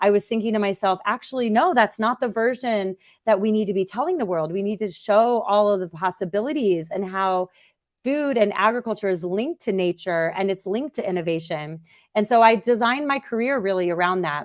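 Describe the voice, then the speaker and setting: A woman with an American accent has a normal speaking voice at a medium pitch with ordinary pitch variation. She talks at a fairly quick pace over a quiet background. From United States, farm upbringing. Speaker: agri-food-tech startup founder and CEO. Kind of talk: interview.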